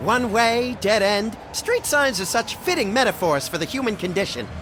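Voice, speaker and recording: Someone uses a put-on character voice with a fairly high pitch at a moderate pace. Loud noise fills the background. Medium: video game. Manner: manic, gleeful.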